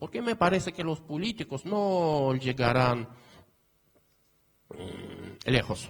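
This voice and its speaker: A man's lively intonation carries a somewhat breathy voice. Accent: Portuguese. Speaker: academic conference speaker. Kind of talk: conference talk. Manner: halting, many fillers.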